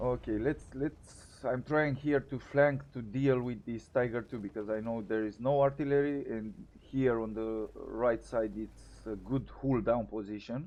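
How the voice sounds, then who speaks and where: Speaking with a non-native accent, the man holds a medium pitch. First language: not English. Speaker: gaming commentator. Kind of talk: gameplay commentary. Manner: halting, with repetitions.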